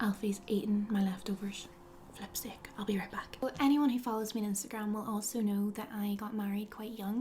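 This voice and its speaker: The speaker has a Northern Irish accent and talks at a moderate pace. Noticeable background noise is present. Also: woman. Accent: Northern Irish (Belfast). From Northern Ireland, Belfast. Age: 20s. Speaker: lifestyle blogger. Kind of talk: casual vlog talk to camera. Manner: animated.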